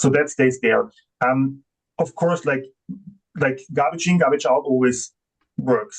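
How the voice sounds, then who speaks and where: A somewhat breathy man speaks at a fairly slow pace with a non-native accent. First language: not English. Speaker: AI software company representative. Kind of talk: conference panel discussion. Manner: halting, many fillers.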